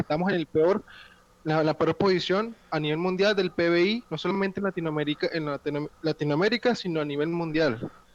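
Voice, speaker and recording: Recorded dry and close with no echo, a man speaks in a high pitch with ordinary pitch variation. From Venezuela. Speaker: debate participant. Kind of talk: political debate.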